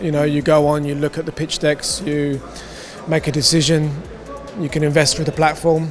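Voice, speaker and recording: Over music in the background, a man speaks at a fairly quick pace in a fairly high pitch with monotone, flat intonation. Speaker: finance executive at a blockchain conference. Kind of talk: interview. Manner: hesitant, many fillers.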